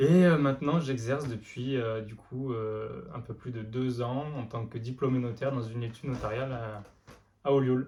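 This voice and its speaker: In a dark, mellow tone that is somewhat breathy, a man speaks at a medium pitch with fairly even intonation. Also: moderate pace. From France, Lozère (Mende). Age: 20s. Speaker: amateur runner and notary. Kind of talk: interview. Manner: many hesitations (euh).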